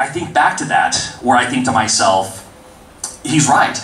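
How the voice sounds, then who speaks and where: A man speaks with lively intonation. Noticeable background noise and audible room echo surround him. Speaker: indie game developer. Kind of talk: convention panel talk. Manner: fast.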